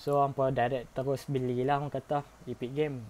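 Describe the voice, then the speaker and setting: A man with a northern Malaysian accent, medium in pitch and dark and mellow in tone, at a moderate pace. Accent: northern Malay dialect. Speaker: gaming YouTuber. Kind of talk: tutorial. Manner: casual, filler-heavy.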